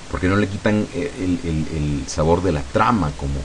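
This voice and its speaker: A man's very deep, low voice at a fairly slow pace, with ordinary pitch variation, audible room echo and noticeable background noise. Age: 40s. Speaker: software tutorial youtuber. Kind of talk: casual chat; screen-recorded tutorial.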